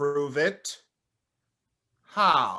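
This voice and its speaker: A man uses a put-on character voice pitched fairly high. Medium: audio drama. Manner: insistent, demanding.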